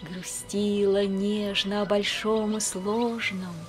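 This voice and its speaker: A woman's medium-pitched voice at a very slow pace, with music in the background. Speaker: priest's wife, reader of poems on a religious channel. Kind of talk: poetry reading.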